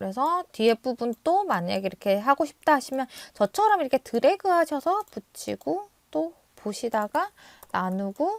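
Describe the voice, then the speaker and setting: A woman with a high pitch and very wide pitch swings speaks at a moderate pace in a dry, close recording with no echo. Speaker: video editing tutor. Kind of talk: tutorial.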